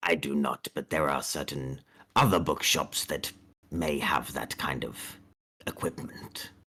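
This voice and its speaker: A man's put-on character voice, raspy and very deep in pitch, at a fairly slow pace with fairly even intonation. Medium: actual play. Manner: courteous, shopkeeperly.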